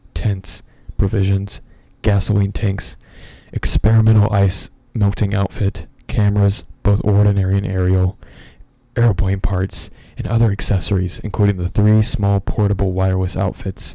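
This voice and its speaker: A man talks in a relaxed tone at a moderate pace. His fairly low voice is somewhat breathy, with monotone, flat intonation. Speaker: ASMR streamer and horror story reader. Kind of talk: horror story reading for a live stream. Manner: relaxed, ASMR-style.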